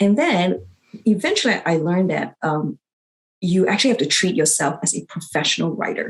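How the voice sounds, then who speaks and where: A woman's fairly low voice, full of vocal fry and lively intonation. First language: not English. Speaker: physician and academic writing coach. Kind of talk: interview. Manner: halting, with fillers.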